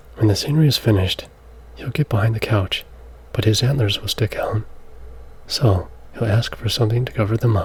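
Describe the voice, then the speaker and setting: Soft-spoken, a man talks at a fairly quick pace with ordinary pitch variation and long, frequent pauses. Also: medium pitch for a man. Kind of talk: ASMR soft-spoken children's book read aloud.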